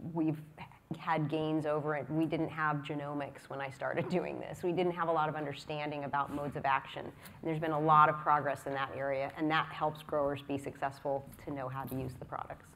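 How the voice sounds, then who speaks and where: Speaking at a fairly quick pace, a woman uses a very deep, low voice. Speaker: crop science researcher. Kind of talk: conference panel discussion. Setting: stage with audience.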